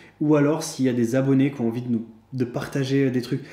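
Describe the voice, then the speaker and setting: This man's voice has a dark, mellow tone and a fairly high pitch. He speaks at a very fast pace. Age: 20s. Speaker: YouTuber, personal finance vlogger. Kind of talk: casual monologue vlog. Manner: hesitant, many fillers and repetitions.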